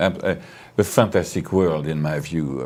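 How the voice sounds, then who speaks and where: In a French accent, a man talks at a moderate pace with fairly even intonation. His pitch is very deep and low. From France. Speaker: winery owner. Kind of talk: interview. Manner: halting.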